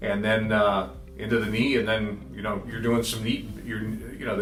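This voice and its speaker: Audible room echo and music in the background accompany speech at a moderate pace. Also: man. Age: 60s. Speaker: patient giving a testimonial, radio consumer reporter. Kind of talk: testimony. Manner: halting, many fillers.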